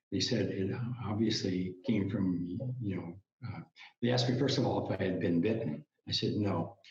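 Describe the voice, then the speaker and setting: Somewhat breathy and fairly low-pitched, a man speaks with ordinary pitch variation and long, frequent pauses. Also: moderate pace. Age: 70s. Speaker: health author and retired cable industry worker. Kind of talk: interview. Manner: halting, many fillers and restarts.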